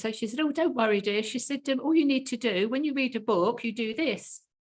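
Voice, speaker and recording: In a plain, everyday voice, a woman talks at a fairly quick pace with ordinary pitch variation, captured in a very clean recording with a silent background. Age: 60s. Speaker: health coach and interviewer. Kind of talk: casual interview chat.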